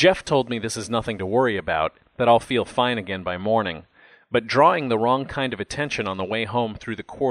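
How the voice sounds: It is a natural reading voice with ordinary pitch variation.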